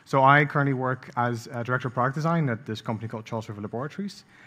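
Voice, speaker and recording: A man with a Dutch accent talks at a very fast pace, at a medium pitch with ordinary pitch variation. His tone is bright and sharp, and the recording is very clean with a silent background. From Netherlands, The Hague. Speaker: product design director. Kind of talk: conference talk. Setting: stage with audience. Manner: hesitant, many fillers.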